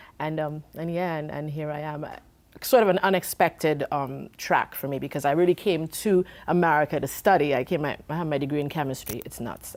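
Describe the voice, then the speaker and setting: A very deep, low female voice, fairly quick, with ordinary pitch variation and big swings in loudness, on a very clean recording with a silent background. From Trinidad. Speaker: singer. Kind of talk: interview. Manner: halting.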